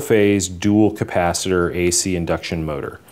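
This man's voice is very deep and low, with ordinary pitch variation. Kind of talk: tutorial.

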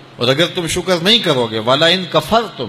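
Light background noise accompanies a man whose pitch swings very widely. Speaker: Islamic preacher. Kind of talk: Islamic sermon (bayan). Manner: emotional, preaching. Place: studio. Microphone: studio mic.

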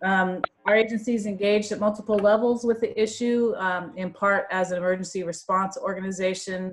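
At a fairly quick pace with hardly any pauses, a woman speaks with fairly even intonation. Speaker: state agency official. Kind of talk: formal welcome speech. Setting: conference call. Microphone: video call.

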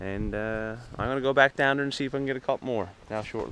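A man speaks at a fast pace in a medium pitch. His tone is bright and sharp. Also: ordinary pitch variation.

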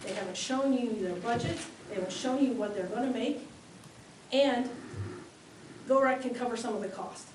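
Speaking at a fairly quick pace in an American accent, a woman has a fairly high voice with ordinary pitch variation, heard with noticeable background noise and audible room echo. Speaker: public commenter. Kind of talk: public comment at town meeting.

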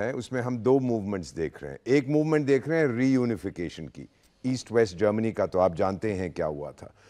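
A man at a fairly slow pace, very wide pitch swings, quiet background. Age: 70s. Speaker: former ambassador; guest. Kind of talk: panel discussion. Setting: studio. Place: studio. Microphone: lapel.

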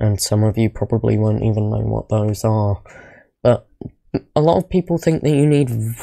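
The voice is quiet. It moves at a moderate pace. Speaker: small YouTuber. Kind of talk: casual talk to camera. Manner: quiet, low volume.

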